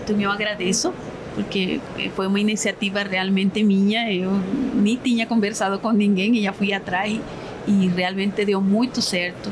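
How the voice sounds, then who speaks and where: Noticeable background noise sits behind a woman speaking at a moderate pace and medium pitch. Her intonation is monotone and flat, her loudness very even. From Colombia. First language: Spanish (speaking Portuguese). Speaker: dentist, facial aesthetics specialist. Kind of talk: panel conversation. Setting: dental congress event.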